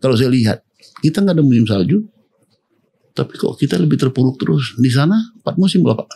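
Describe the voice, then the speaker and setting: Dark and mellow, a man's somewhat breathy voice sits at medium pitch and swings very widely in pitch at a very fast pace. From Pematangsiantar, North Sumatra, Indonesia. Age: 60s. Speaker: mayoral candidate. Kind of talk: podcast interview. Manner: conversational.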